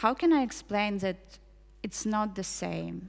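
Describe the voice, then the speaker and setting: A woman speaks in a Russian accent at medium pitch. Her pace is fairly slow. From Ukraine. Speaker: poet and translator. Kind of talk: spoken word performance.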